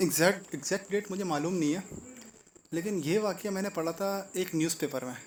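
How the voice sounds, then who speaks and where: With ordinary pitch variation, a man speaks in a high register. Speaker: podcast host. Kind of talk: casual horror storytelling conversation.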